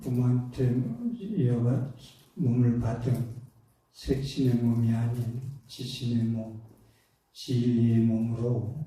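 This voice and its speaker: With audible room echo around him, a man speaks at a very slow pace in a monotone, flat intonation, at very even loudness and with long, frequent pauses. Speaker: Buddhist monk. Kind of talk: sermon. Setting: temple dharma talk with audience. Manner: hesitant, many fillers.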